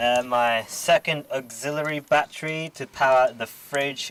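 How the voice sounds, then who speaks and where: Over noticeable background noise, a man speaks at a fairly high pitch with an Australian accent. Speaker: car modding vlogger. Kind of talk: casual walkaround tutorial. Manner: halting, stuttering; casual.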